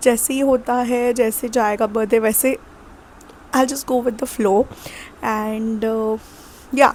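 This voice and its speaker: Amid noticeable background noise, a woman speaks at a fairly high pitch and a fairly slow pace. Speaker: vlogger. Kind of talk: casual chat.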